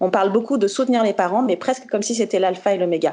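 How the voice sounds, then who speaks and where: A woman at a medium pitch and very fast pace, with ordinary pitch variation. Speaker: founder of a parenting magazine website, speaker at conference. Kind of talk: conference talk. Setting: video conference.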